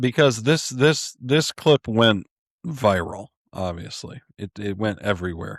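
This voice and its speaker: In a Michigan accent, a man talks at a fairly slow pace with lively intonation. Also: medium pitch for a man, dry, close sound with no echo, very clean recording, silent background. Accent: US Midwest (Michigan). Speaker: news podcast co-host. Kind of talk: casual chat.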